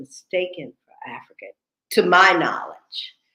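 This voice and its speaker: Her bright, sharp tone comes at a fairly slow pace as the woman speaks. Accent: American. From United States. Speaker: talk show host. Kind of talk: casual chat. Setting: livestream.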